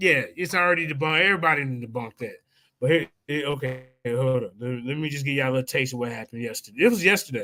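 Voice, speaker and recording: A bright, sharp tone at a very fast pace, with a slight Southern US accent and ordinary pitch variation. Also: man, fairly high pitch for a man. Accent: slight Southern country. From US Midwest. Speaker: religious debater and live-stream host. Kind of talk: casual live-stream chat.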